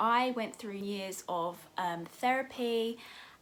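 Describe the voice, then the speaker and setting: A woman speaks in a bright, sharp tone with an English accent. Her pitch variation is ordinary. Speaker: lifestyle YouTuber. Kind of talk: casual vlog talk to camera.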